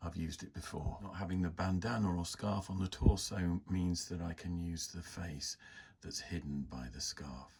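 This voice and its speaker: Somewhat breathy speech at a moderate pace, with ordinary pitch variation. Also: man, very deep, low pitch for a man. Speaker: miniature model hobbyist. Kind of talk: hobby tutorial narration.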